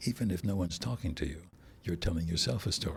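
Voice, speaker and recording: A man's voice is very deep and low, somewhat breathy, with lively intonation. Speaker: audiobook narrator. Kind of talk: interview.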